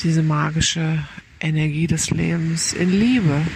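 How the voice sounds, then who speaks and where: A fairly low-pitched woman's voice at a very slow pace, calm and soothing in tone, fairly even in intonation, over noticeable background noise. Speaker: meditation guide. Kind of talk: guided meditation. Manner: slow, calm, soothing, with gentle pauses; soft-spoken.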